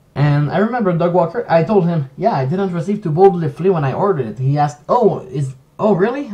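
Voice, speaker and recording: With a French accent, a man talks at a very fast pace in a high pitch with lively intonation. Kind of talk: casual commentary stream.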